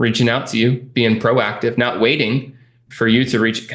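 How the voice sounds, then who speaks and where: At a moderate pace, a man speaks in a medium pitch with a Californian accent. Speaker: real estate investing coach, interview host. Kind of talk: client success interview. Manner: animated.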